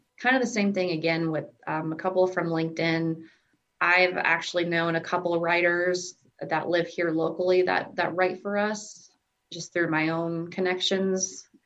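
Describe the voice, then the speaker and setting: With an American accent, a woman speaks in a plain, everyday voice, fairly low in pitch, with fairly even intonation at a moderate pace. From US Midwest (southwest Iowa). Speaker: employee of a blindness services organization, blind since birth. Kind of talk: interview.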